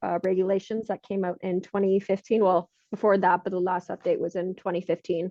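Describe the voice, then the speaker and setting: A woman with a Canadian accent, medium pitch, and a fairly quick pace. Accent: Canadian, often taken for American. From Canada. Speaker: health and safety consultant. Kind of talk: podcast interview.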